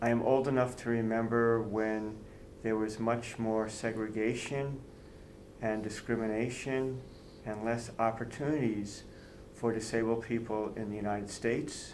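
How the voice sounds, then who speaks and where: A man with a medium-pitched voice and an American accent speaks in a flat monotone. Audible room echo surrounds him. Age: 60s. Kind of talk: interview.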